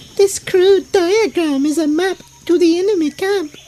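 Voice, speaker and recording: This is a put-on character voice, squeaky and extremely high in pitch. It goes at a moderate pace. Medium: audio drama.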